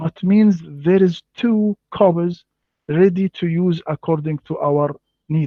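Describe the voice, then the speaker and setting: A man with an Arabic accent speaks very slowly in a high voice, his intonation fairly even. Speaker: Islamic scholar, imam. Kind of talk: debate. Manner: halting.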